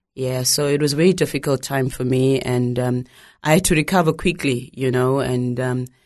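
Speech in a Zimbabwean accent with fairly even intonation is heard over a quiet background. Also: woman. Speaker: documentary maker and ministry leader. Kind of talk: testimony. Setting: studio.

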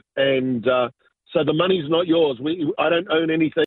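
A man with an Australian accent. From southwest Sydney, Australia. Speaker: business pastor and entrepreneur. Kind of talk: interview testimony.

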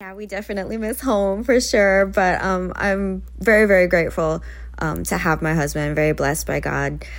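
A woman's loudness rises and falls sharply as she keeps a moderate pace. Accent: Hawaiian. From Hawaii (Oahu). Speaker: singer-songwriter. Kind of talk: interview. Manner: hesitant, many fillers.

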